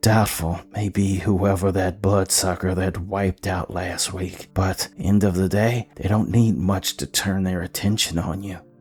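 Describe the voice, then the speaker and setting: Whispering in a put-on character voice, a man keeps a moderate pace with hardly any pauses. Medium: read story.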